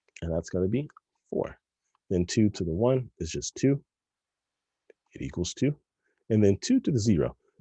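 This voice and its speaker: Very wide pitch swings and vocal fry mark this dark, mellow tone, with long, frequent pauses. The sound is dry and close with no echo. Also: man, fairly low pitch for a man. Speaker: math teacher. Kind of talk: tutorial. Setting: recorded video lesson. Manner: fast.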